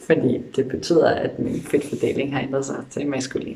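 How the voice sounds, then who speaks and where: A man is speaking. He goes at a fairly slow pace. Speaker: vlogger. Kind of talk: video diary update. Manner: hesitant with fillers.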